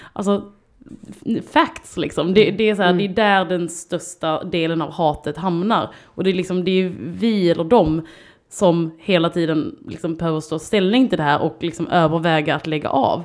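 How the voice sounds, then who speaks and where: A woman's fairly low voice at a moderate pace, with ordinary pitch variation, in a very clean recording against a silent background. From southern Sweden (Skåne). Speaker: artist and children's TV presenter. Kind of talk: casual chat.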